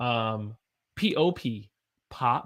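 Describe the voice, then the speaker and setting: Against a silent background in a very clean recording, a man speaks at a very slow pace and medium pitch with lively intonation. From US South. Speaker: English teacher. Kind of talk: live-stream English lesson. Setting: live stream with chat.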